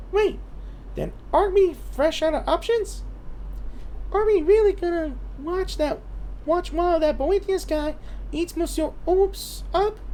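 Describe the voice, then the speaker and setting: A put-on, squeaky character voice that sounds female, extremely high in pitch, fairly slow with long, frequent pauses, over clear background noise. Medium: game stream. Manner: chatty, refers to self in third person.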